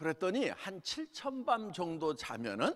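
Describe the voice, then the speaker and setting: The man's voice sits at a high pitch. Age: 60s. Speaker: company founder and lay preacher. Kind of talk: sermon. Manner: halting.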